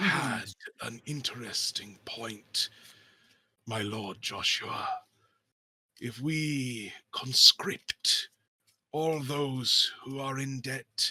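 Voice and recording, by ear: A raspy, put-on character voice speaks at a very slow pace. Long pauses come often. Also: man, medium pitch for a man.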